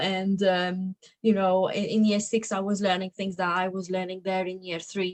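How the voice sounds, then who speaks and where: With a Slovak accent, a woman speaks at a moderate pace. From Slovakia, raised in England from about age 10. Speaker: adviser and entrepreneur. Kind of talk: interview. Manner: casual, with fillers and restarts.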